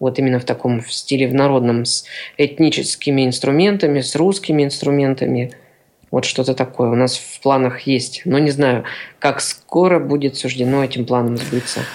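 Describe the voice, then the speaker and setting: Here is a man with a normal speaking voice at a medium pitch. He keeps a moderate pace and fairly even intonation. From Siberia, Kemerovo region. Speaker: accordion player and teacher. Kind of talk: radio interview.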